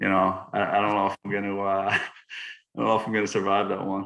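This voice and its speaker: With a Boston accent, a man talks at a very fast pace in a fairly low voice. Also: quiet background. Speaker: college baseball player. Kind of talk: casual chat.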